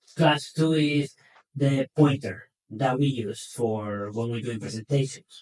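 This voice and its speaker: A man's somewhat breathy voice with a non-native accent, ordinary pitch variation and a fairly slow pace. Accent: foreign accent, self-noted. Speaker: equine veterinarian. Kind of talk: educational podcast talk. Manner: conversational, with hesitations and repetitions.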